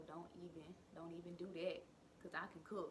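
Against noticeable background noise, a woman talks at a moderate pace with a fairly low pitch. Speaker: vlogger. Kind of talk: casual vlog chat. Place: kitchen. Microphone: phone near.

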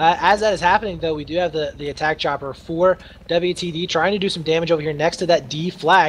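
The speech moves at a fairly quick pace, with noticeable background noise present. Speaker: esports caster. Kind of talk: live esports commentary. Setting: online stream recording. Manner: animated, fast play-by-play, excited; tired after long casting.

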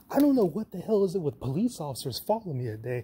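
Speaking at a very fast pace, a man delivers his words in a dark, mellow tone that is somewhat breathy. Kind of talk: casual vlog chat. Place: empty room. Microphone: phone near.

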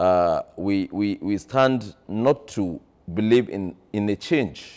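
Lively intonation colors this man's speech. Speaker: politician interviewee. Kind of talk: interview answer. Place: home room. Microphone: lapel.

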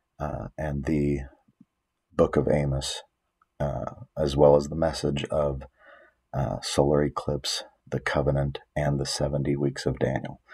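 A soft-spoken man with a very deep, low pitch and a flat, monotone delivery over a quiet background. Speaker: bible prophecy teacher. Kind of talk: religious teaching monologue. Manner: soft-spoken, talking low; hesitant, many fillers. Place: home room. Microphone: webcam.

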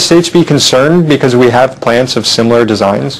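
Lively intonation marks a man's fairly quick speech. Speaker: talk show host. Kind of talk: interview. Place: studio.

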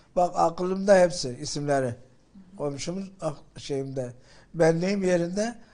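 With a dark, mellow tone, a man speaks at a high pitch with ordinary pitch variation. He leaves long, frequent pauses. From Gaziantep, Islahiye. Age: 70s. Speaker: earthquake survivor, former farmers' chamber president. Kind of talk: interview answer. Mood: emotional recounting of rescue. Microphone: handheld.

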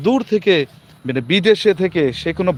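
A man with a high-pitched voice is heard in a dry, close sound with no echo. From Bangladesh. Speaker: livestreamer, garment worker. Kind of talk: live-stream monologue. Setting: live stream. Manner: halting, repetitive.

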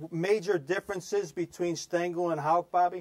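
A man with an American accent, a plain, everyday voice, moderate pace and ordinary pitch variation, over a quiet background. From US Northeast. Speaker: sports show host. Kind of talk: interview. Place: studio.

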